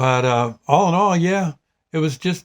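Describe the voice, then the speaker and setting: Fairly slow in pace, a man speaks in a high pitch with lively intonation. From US Northeast (New Jersey). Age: 70s. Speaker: vlogger. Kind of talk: casual vlog monologue. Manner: halting, many fillers.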